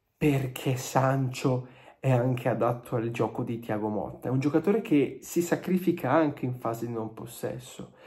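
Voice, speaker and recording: Somewhat breathy and dark, mellow in tone, a man talks at a moderate pace with ordinary pitch variation. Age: 20s. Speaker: football YouTuber. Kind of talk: video commentary to camera. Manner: animated. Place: home room. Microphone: phone near.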